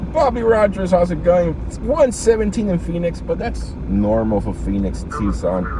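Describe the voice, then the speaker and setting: A man is talking in a space with audible room echo, and noticeable background noise can be heard too. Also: moderate pace, hardly any pauses. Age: 30s. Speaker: live streamer reading scanner and chat. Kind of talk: casual live stream chat. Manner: casual, rambling conversational.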